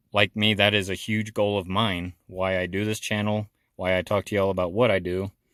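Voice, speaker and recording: A man with an American accent speaks in a fairly low pitch. The sound is dry and close with no echo, on a very clean recording with a silent background. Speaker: silver investing YouTuber. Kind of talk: casual monologue to camera. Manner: low-key.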